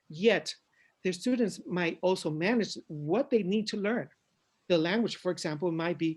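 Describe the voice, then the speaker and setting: In a Spanish accent, a man speaks at a high pitch. His pitch varies in an ordinary way. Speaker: education consultant. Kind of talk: conference presentation. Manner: halting.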